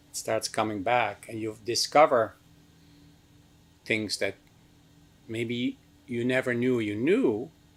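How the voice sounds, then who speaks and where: A man with a Dutch accent speaks at a medium pitch and a very slow pace. He leaves long, frequent pauses. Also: fairly even intonation. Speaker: meditation teacher. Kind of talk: lecture.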